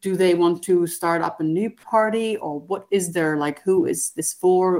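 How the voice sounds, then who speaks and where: A woman with an unremarkable speaking voice talks at a moderate pace with hardly any pauses. Her pitch is medium and her intonation fairly even. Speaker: TV journalist. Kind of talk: interview answers.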